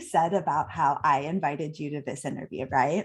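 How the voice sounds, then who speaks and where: Over a quiet background, a woman speaks at a moderate pace. Her voice is somewhat breathy. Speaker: podcast host. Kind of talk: interview. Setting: live video stream.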